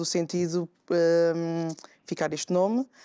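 Against a quiet background, a woman speaks in a fairly low pitch with a dark, mellow tone. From São Tomé and Príncipe. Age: young. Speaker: guest. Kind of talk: talk show interview. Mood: calm, friendly. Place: studio. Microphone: lapel.

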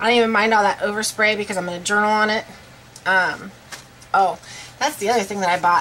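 A woman's very fast, fairly evenly intoned speech with light background noise. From Iowa, US Midwest. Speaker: craft YouTuber. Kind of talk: tutorial. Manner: casual, filler-heavy. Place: home room. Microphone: webcam.

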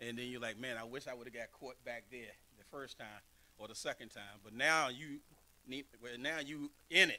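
A man's bright, sharp voice moves at a moderate pace with big swings in loudness. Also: medium pitch for a man, fairly even intonation. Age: 50s. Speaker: pastor. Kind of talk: sermon. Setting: church. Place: church. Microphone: podium.

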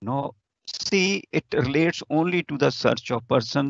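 Speaking at a fairly slow pace with an Indian accent, a man swings his pitch very widely in a dry recording with no echo and a quiet background. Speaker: law faculty lecturer. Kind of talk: lecture. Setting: video call. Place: office. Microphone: webcam.

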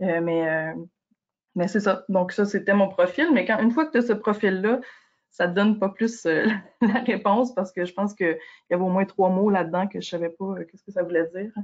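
A woman's normal speaking voice, medium in pitch, at a moderate pace with ordinary pitch variation and big swings in loudness against a quiet background. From Quebec. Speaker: forestry director; panelist. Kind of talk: webinar presentation. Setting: video call. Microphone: video call.

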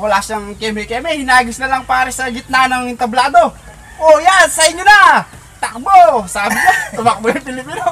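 Speech at a fairly quick pace comes through light background noise. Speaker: storyteller. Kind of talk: casual storytelling, telling a joke. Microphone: camera far.

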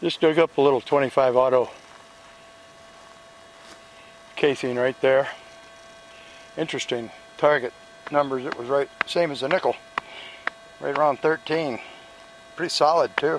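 A man talks at a moderate pace with fairly even intonation and long, frequent pauses. Noticeable background noise sits under a dry sound with no echo. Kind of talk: casual vlog commentary. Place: open country. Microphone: phone near.

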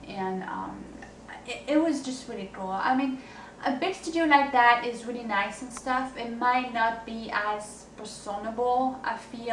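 A woman talks at a fairly slow pace with light noise in the background. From France. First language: French. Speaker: singer-songwriter. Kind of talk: video blog monologue. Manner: hesitant, many fillers. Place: home room. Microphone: camera far.

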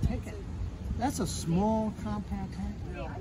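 With noticeable background noise behind him, a man speaks at a fairly slow pace. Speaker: museum demonstrator. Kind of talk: guided tour storytelling. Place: street. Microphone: phone near.

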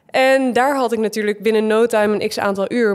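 Noticeable background noise sits behind a woman's voice. Fairly high in pitch, she speaks in a flat monotone. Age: 20s. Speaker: reality TV contestant and gym owner. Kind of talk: casual chat.

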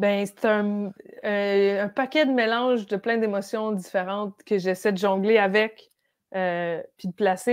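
This woman has a plain, everyday voice with a fairly high pitch. She talks at a fairly slow pace with fairly even intonation. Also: quiet background. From Quebec (Brossard and Outaouais); Quebec. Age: 30s. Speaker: comedian. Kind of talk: casual chat. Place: home room. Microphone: earbuds.

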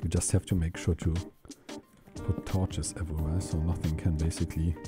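Clear music plays behind a man who talks at a moderate pace in a dry sound with no echo. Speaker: gaming streamer. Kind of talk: calm gameplay commentary for sleep. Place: home room. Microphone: headset.

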